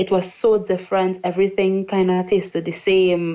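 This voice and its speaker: The woman talks at a fairly slow pace. Her pitch is medium. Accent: Trinidadian. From Trinidad and Tobago. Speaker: English teacher. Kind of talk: interview.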